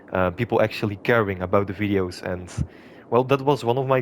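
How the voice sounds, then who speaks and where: A man with a non-native accent, fairly low pitch, ordinary pitch variation and a moderate pace. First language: not English. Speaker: gaming YouTuber. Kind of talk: gameplay commentary. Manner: hesitant, many filler sounds.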